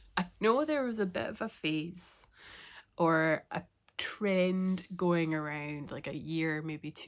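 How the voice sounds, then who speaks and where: In a very clean recording with a silent background, a woman with a Scottish accent speaks very slowly in a very deep, low voice. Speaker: knitting and crochet podcaster. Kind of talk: casual talk to camera.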